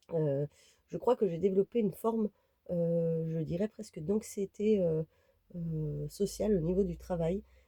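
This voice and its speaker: A woman with a dark, mellow, somewhat breathy voice speaks fairly slowly at a fairly low pitch with ordinary pitch variation and long, frequent pauses, in a dry, close sound with no echo. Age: 30s. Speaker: vlogger. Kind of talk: casual vlog talk to camera. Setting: inside a camper van. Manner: hesitant, many fillers.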